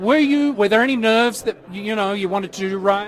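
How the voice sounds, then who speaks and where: In an Australian accent, a man talks with a high pitch and ordinary pitch variation. Crowd noise sits in the background. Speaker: red carpet show host. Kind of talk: live red carpet interviews. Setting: outdoor red carpet event, live. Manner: animated.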